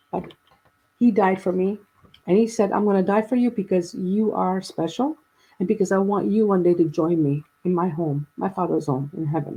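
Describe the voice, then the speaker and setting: A woman with a normal speaking voice and medium pitch speaks at a moderate pace with ordinary pitch variation. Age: 60s. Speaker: guest sharing personal story of grief and faith. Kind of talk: casual chat.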